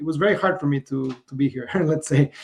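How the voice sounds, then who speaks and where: With a Spanish accent, a man speaks in a somewhat breathy voice at a fairly high pitch and with fairly even intonation. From Mexico. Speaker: business founder. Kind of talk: podcast interview.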